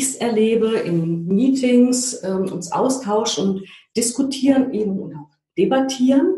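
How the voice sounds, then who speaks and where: With audible room echo around her, a woman speaks at a fairly slow pace in a somewhat breathy, dark, mellow voice with lively intonation. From East Germany. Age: 40s. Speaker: change consultant and trainer. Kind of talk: interview. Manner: hesitant, many filler sounds.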